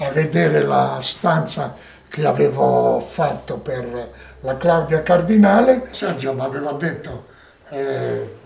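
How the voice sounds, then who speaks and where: A man talks at a very slow pace. The room echo is audible. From Bergamasco, Piedmont, Italy. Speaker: film set designer. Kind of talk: documentary interview, personal recollections.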